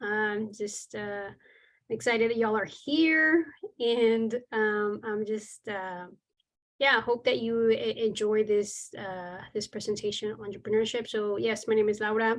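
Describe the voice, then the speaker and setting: A woman with a Texan accent speaks at a fairly slow pace. Her pitch is fairly high, and the background is quiet. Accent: Texan with Mexican heritage. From Texas, Mexican heritage. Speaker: business instructor. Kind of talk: webinar lecture. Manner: hesitant, many fillers.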